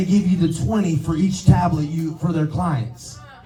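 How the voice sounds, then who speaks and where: An animated man speaks at a moderate pace amid noticeable background noise and audible room echo. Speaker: sales team leader. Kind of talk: motivational talk to sales team.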